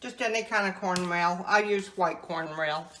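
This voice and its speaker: With audible room echo and noticeable background noise, a woman in a Southern US accent speaks at a medium pitch with fairly even intonation. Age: 70s. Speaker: home cook. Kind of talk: interview; cooking tutorial.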